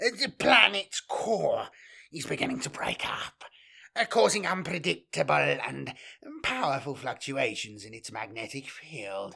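A man's raspy put-on character voice, fairly high in pitch, at a fairly slow pace with big swings in loudness. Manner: bleating, nervous.

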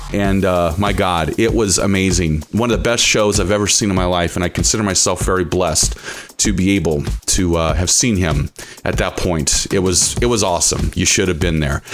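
A man with a very deep, low pitch talks at a fairly quick pace, his loudness very even and his pitch varying in an ordinary way, with music in the background. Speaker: college radio host. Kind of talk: radio show introduction. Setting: studio. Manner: enthusiastic, announcer-style build-up; rambling with filler 'uh'.

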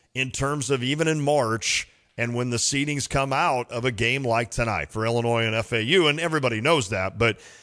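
Against a quiet background, a man speaks loudly at a moderate pace. His tone is bright and sharp. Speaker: sports radio host. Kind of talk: casual sports talk. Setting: studio.

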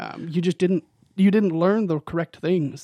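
A man with an American accent, fairly high in pitch and dark, mellow in tone, at a moderate pace with fairly even intonation, in a dry, close sound with no echo over a quiet background. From US Pacific Northwest, western Washington. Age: 20s. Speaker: tuba player, music graduate student. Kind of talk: casual interview chat. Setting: studio.

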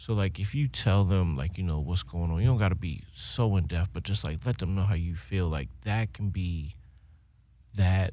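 Somewhat breathy, a man's very deep, low voice carries a dark, mellow tone. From Baltimore, West Side. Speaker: singer. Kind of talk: casual chat. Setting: studio. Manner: animated.

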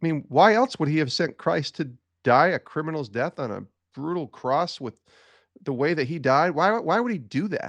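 An unremarkable speaking voice from a man with an American accent, fairly high-pitched with lively intonation, dry and close with no echo, against a quiet background. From upstate New York (Albany area). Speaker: sports broadcaster and author. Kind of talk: faith testimony interview.

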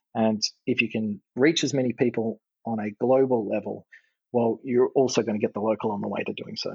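With an Australian accent, a man talks at a fairly quick pace in a medium pitch and fairly even intonation. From Western Australia, Margaret River. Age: 30s. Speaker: golf coach. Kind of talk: podcast interview.

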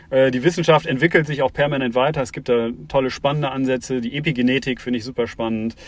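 Very fast in pace, a man talks at a medium pitch. His intonation stays fairly even. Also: hardly any pauses. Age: 40s. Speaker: startup founder and CEO. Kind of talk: interview. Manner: hesitant with many fillers.

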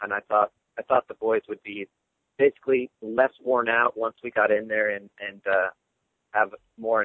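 This man has a medium pitch and talks at a moderate pace with long, frequent pauses. His loudness swings widely. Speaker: hunter and outfitter. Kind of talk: casual interview.

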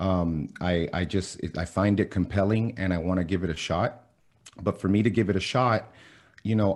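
Talking at a moderate pace, a man uses a fairly low pitch with ordinary pitch variation. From Miami, US. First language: Spanish. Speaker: fitness and keto blogger, former college athlete and coach. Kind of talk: casual podcast interview.

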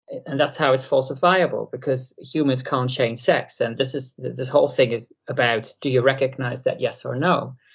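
The speech moves at a moderate pace with hardly any pauses. It comes with a Dutch accent. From Netherlands. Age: 40s. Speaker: satirical YouTuber. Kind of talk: interview.

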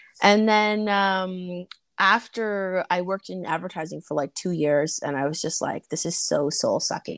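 In a Canadian accent, a woman speaks at medium pitch and a moderate pace with ordinary pitch variation. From Canada, Toronto. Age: 30s. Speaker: podcast host. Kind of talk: casual chat. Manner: animated.

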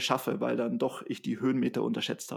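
In a very clean recording with a silent background, a man uses a normal speaking voice at a medium pitch and a moderate pace. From Bavaria, Germany. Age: 30s. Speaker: trail runner and social business founder. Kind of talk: casual interview.

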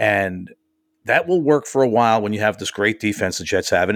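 A man with an American accent and an ordinary speaking voice talks at a fairly low pitch and fairly quick pace. His intonation is lively, and the recording is very clean with a silent background. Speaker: radio show host, Jets fan. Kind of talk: casual chat about football.

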